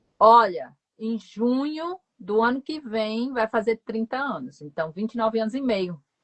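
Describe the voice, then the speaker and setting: A woman talks in an ordinary speaking voice at a fairly high pitch. Her pace is fairly slow, with lively intonation and hardly any pauses. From Northeast Brazil, João Pessoa, Paraíba. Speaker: foreign language teacher. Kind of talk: casual chat. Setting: live stream video call.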